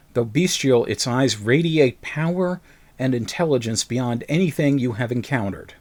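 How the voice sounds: The voice reads in a natural way.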